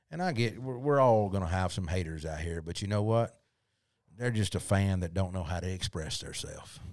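A man's very deep, low voice in a Southern US accent, with ordinary pitch variation, a moderate pace and a very clean recording with a silent background. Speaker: podcast host. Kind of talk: casual interview chat.

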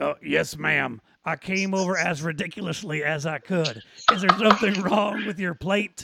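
A man's raspy, put-on character voice, high-pitched for a man, at a moderate pace. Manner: overly exaggerated.

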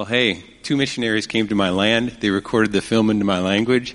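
A man is speaking. His pitch is fairly low. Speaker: missionary, film ministry. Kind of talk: church interview.

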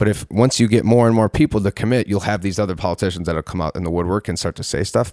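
A man talks in an ordinary speaking voice, fairly low in pitch with ordinary pitch variation. The recording is very clean, with a silent background. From western New York (Palmyra). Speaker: cannabis reform activist. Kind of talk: casual interview.

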